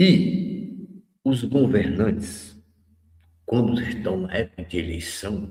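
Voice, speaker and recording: A man's somewhat breathy, very slow speech, medium in pitch with very wide pitch swings. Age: 70s. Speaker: radio host. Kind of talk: radio commentary. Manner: conversational.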